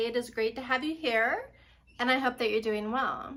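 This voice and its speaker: Speaking with an American accent, a woman projects a raised, high-pitched voice with a bright, sharp tone. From United States. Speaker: voice actor. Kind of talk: casual talk to camera.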